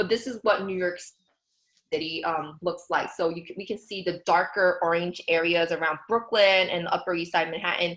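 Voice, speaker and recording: A woman speaks with a fairly low pitch. Her intonation stays fairly even. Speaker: census bureau recruiter. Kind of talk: recruitment presentation. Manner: fast; hesitant with many fillers.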